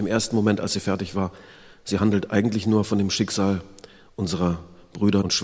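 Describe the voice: What you hear is plain reading aloud.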